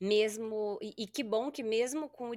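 A woman's voice on a very clean recording with a silent background, dry and close with no echo. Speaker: podcast host, gerontologist. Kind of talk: interview.

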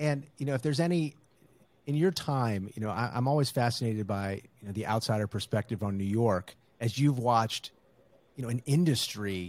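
He has a plain, everyday voice at a medium pitch. The man moves at a fairly quick pace with ordinary pitch variation. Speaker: podcast host. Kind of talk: casual interview.

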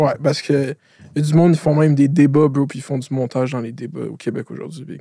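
Very fast and somewhat breathy, a man speaks with a dark, mellow tone at a fairly high pitch, with fairly even intonation and big swings in loudness. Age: 20s. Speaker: podcast host. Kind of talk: casual chat.

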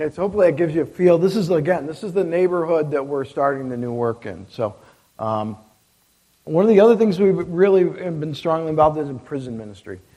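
Speaking with an Upstate New York accent, a man talks very fast at a fairly high pitch. His intonation is lively, and his loudness rises and falls a lot. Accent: Upstate New York American. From upstate New York (near Syracuse). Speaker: missionary. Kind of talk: missionary talk at a church service. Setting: church.

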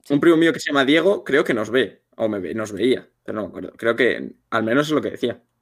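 At a fairly quick pace with hardly any pauses, a man speaks at a medium pitch with lively intonation and vocal fry. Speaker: content creator, streamer. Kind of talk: casual chat on a livestream.

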